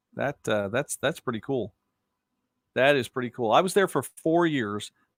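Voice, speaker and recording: On a very clean recording with a silent background and a dry, close sound with no echo, a man with an American accent speaks at a moderate pace with very wide pitch swings. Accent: slight Southern, worked toward Midwest. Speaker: local news host and sports broadcaster. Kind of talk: live-stream commentary reading viewer comments. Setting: home studio, live stream. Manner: casual, rambling conversational.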